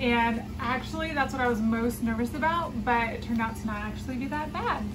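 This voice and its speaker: Noticeable noise runs through the background. Over it, a woman talks at a moderate speed. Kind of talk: casual vlog chat. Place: home room. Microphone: phone near.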